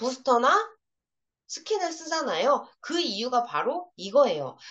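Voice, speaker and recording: A woman's high, animated voice at a fairly slow pace, with very wide pitch swings. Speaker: product trainer for beauty sellers. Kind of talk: product training lecture. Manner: animated, interactive.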